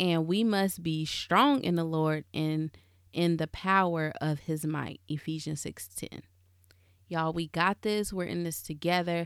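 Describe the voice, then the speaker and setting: A woman talks at a fairly slow pace and fairly low pitch with ordinary pitch variation. Hers is an unremarkable speaking voice. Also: very clean recording, silent background. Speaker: podcast host. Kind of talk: fervent closing prayer, led aloud to listeners. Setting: home closet studio. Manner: earnest, reverent, warm, with repeated 'Lord' cadence.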